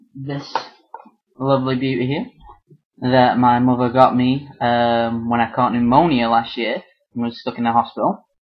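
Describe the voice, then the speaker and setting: Someone with a British accent speaks at a moderate pace, leaving long, frequent pauses. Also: man, medium pitch for a man. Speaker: artist and vlogger. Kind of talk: casual chat. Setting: webcam video at home. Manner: hesitant, many fillers; less energetic than usual character voice. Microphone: built-in monitor webcam.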